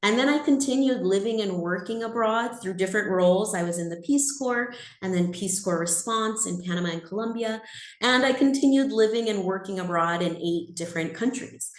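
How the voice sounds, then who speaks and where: Speaking at a fairly quick pace with lively intonation, a woman with an American accent has a medium pitch, and the room echo is audible. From California. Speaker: exchange program staff presenter. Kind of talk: webinar presentation. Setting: video call.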